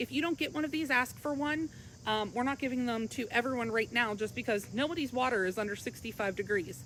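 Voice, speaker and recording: A woman talks very fast in a high pitch with ordinary pitch variation. Her loudness stays very even. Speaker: pool store expert giving lessons. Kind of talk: live-stream tutorial. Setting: outdoors by her pool, live stream.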